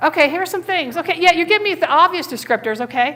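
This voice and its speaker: The voice is loud, with an American accent. Its intonation is lively. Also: woman. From Connecticut. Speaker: police officer and safety trainer. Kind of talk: training talk. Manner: fast.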